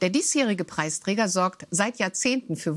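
Ordinary pitch variation from a woman speaking at a moderate pace. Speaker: news presenter. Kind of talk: news reading. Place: studio. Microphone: lapel.

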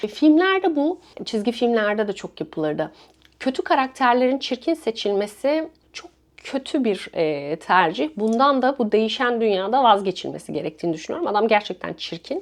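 At a moderate pace, the voice has an animated tone and very wide pitch swings. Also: woman. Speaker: film review vlogger. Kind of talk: casual film review monologue.

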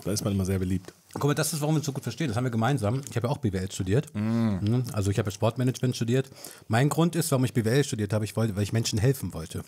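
A man's somewhat breathy, dark and mellow voice at medium pitch, with ordinary pitch variation and a very fast pace. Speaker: podcast host. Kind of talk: casual chat.

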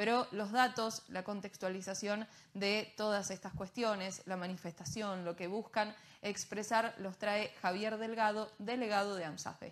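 Here a woman talks at a fairly slow pace. Her intonation is fairly even. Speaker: news presenter. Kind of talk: news broadcast. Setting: studio. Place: studio.

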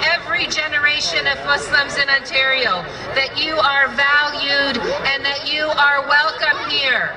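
At a fairly slow pace, a woman uses a raised, projected voice amid noticeable background noise. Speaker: politician giving a speech. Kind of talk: formal public speech. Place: stage.

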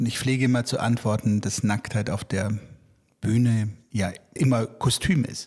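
On a very clean recording with a silent background, a somewhat breathy man speaks at a fairly slow pace with fairly even intonation and a medium pitch. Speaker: theatre director hosting podcast. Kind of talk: interview conversation.

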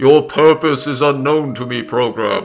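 Over faint music in the background, someone performs a put-on character voice. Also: man. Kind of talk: archaic, formal. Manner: menacing, grand.

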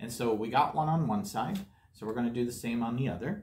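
A man talks at a fairly quick pace with a medium pitch. His tone is slightly mellow, and his pitch varies in an ordinary way.

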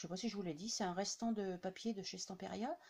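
A woman speaks with a slightly mellow tone.

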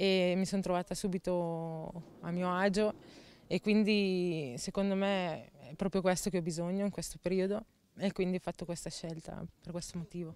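Recorded dry with no echo, a woman's fairly low voice moves with fairly even intonation. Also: moderate pace. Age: 20s. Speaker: footballer. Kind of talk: interview; interview answer. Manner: halting. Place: garden. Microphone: handheld.

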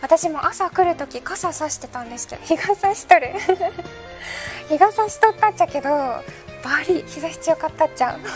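A woman with a Fukuoka accent, with clear music in the background. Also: moderate pace. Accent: Hakata dialect. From Hakata, Fukuoka. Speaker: weather presenter. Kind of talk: playful dialect commentary. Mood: playful, amused. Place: studio.

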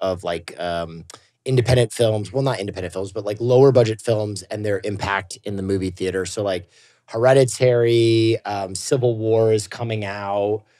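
A man speaks at a moderate pace in a fairly low pitch, his tone dark and mellow, with ordinary pitch variation against a quiet background. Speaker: streamer. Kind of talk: casual chat. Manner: animated. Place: studio.

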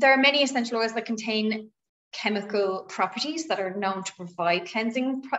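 A woman talks at a fairly quick pace with lively intonation. Light background noise can be heard. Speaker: presenter. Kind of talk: tutorial. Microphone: video call.

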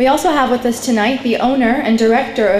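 A woman's high voice at a fairly quick pace, ordinary pitch variation, audible room echo. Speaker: event host. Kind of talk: formal welcome speech. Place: hall.

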